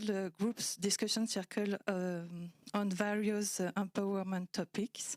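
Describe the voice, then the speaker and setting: The speech runs at a fairly slow pace with hardly any pauses and very even loudness. The very clean recording has a silent background and a dry, close sound with no echo. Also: woman. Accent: French. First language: French. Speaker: cinematographer. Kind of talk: panel discussion. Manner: halting.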